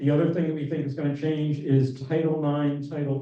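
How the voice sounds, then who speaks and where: Speaking at a fairly quick pace, a man with a plain, everyday voice sits at a fairly high pitch. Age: 60s. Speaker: LGBTQ rights advocate. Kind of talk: town hall presentation. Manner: casual, conversational.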